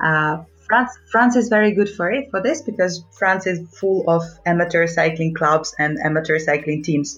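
Music plays in the background while the speaker talks at a moderate pace with ordinary pitch variation. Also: woman, fairly low pitch for a woman. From Ukraine. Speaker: amateur cyclist. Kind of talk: casual interview.

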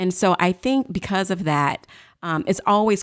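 A woman with an American accent and an ordinary speaking voice, at a moderate pace with ordinary pitch variation, in a very clean recording with a silent background. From St. Louis, Missouri. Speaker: factory executive, engineer. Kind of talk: interview. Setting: studio.

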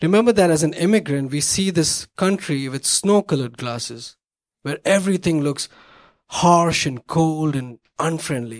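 A man with an Indian accent uses lively intonation in a dry, close sound with no echo. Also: fairly high pitch for a man, moderate pace. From India, Bombay. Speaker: storyteller. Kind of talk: stand-up. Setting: stage with audience.

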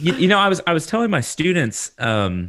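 A man with a Texan accent on a very clean recording against a silent background. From Texas. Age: 30s. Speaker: horticulture lecturer and podcast host. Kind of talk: casual interview.

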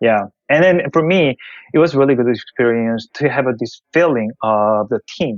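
Speaking with a Korean accent, a man uses lively intonation at medium pitch and a moderate pace. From South Korea. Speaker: tech investor. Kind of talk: interview. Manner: halting.

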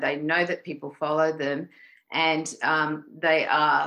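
A woman with an Australian accent has a very deep, low voice with a bright, sharp tone. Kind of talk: casual interview chat.

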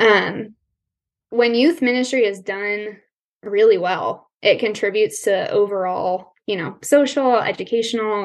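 Delivered at a fairly slow pace, an ordinary speaking voice shows ordinary pitch variation. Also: woman. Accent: General American. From Colorado. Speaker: counseling student. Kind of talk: interview conversation.

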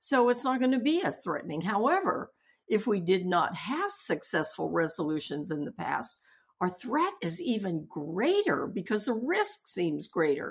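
The pitch swings very widely from high to low. There is a somewhat breathy quality to the voice. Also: woman, medium pitch for a woman, moderate pace, very clean recording, silent background. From US, Japanese-American family. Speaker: hospital chaplain and seminary professor. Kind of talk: interview.

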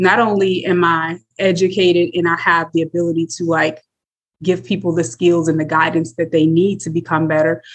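Someone with an American accent speaks at a moderate pace in a plain, everyday voice with fairly even intonation. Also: woman, fairly low pitch for a woman. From US Midwest, South Bend, Indiana. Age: 30s. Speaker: mental health therapist. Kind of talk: interview, personal testimony.

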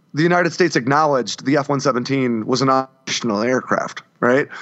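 A man speaks in a plain, everyday voice with an American accent. His pace is moderate. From US, grew up in a trailer park. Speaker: former Marine and defense writer. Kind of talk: casual chat.

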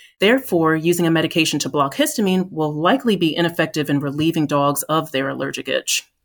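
In an American accent, a woman with an unremarkable speaking voice talks at a fairly quick pace with ordinary pitch variation. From US Northeast, New Jersey. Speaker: veterinarian, pharma medical lead. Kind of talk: podcast interview.

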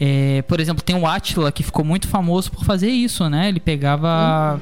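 A man's fairly high voice with hardly any pauses, music playing in the background. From Rio de Janeiro, Brazil. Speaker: podcast host. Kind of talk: casual interview.

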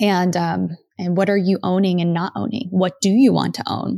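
A woman's dark, mellow tone at medium pitch, with fairly even intonation, on a very clean recording with a silent background. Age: 30s. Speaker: podcast host, former music industry worker. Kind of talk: solo monologue. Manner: casual, filler-heavy.

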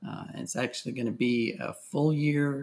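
A man speaks in a plain, everyday voice. His pace is moderate, with ordinary pitch variation. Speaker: space agency technologist. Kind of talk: interview.

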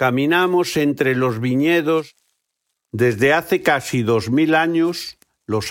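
A man talks very slowly on a very clean recording, with a silent background. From Galicia, Spain. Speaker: tour guide and guesthouse owner. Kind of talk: scripted narration.

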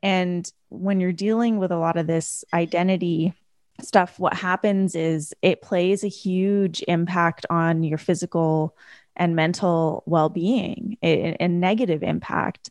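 Against a quiet background, a woman with a Canadian accent speaks in a normal speaking voice at a fairly slow pace and a fairly low pitch, with fairly even intonation and a dry, close sound with no echo. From Canada. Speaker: life coach and author. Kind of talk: interview.

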